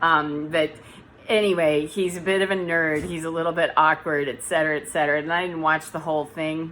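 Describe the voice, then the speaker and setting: Loud and fairly quick, a woman talks in a very deep, low voice with a bright, sharp tone and monotone, flat intonation. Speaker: spiritual vlogger, energy healer. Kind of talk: casual vlog monologue. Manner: sometimes flat, robotic intonation.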